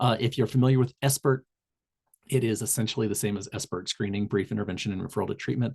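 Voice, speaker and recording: A man with an American accent talks at a very fast pace, somewhat breathy, with ordinary pitch variation. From Southern Indiana, US. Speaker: public health tobacco cessation trainer. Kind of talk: online community call presentation. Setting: video call. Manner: frequent fillers and self-corrections.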